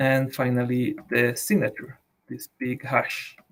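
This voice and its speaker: A man with a Latin American accent has a medium-pitched, somewhat breathy voice. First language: Spanish. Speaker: blockchain developer. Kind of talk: technical tutorial. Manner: halting, many repeated words.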